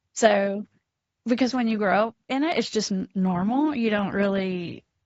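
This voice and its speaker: A woman with a South Carolina accent talks at a moderate pace, her fairly high pitch showing ordinary variation. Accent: Southern US (South Carolina). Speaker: addiction counselor. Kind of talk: podcast interview.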